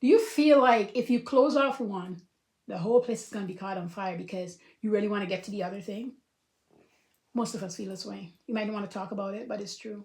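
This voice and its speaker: A woman's very fast, animated, somewhat breathy voice at a medium pitch, with ordinary pitch variation and big swings in loudness. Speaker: life coach. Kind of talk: casual talk to camera.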